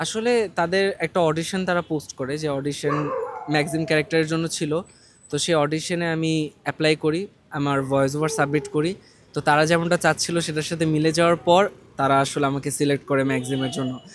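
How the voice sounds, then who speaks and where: A man with a fairly high voice keeps his intonation fairly even while noticeable background noise runs underneath. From Bangladesh. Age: young. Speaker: voice actor. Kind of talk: interview answer.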